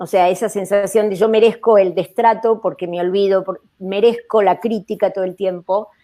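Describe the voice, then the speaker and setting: Music plays in the background as a woman speaks at a moderate pace. Her medium-pitched voice keeps a fairly even intonation. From Argentina. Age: 60s. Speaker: psychiatrist. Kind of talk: panel discussion. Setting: live video stream.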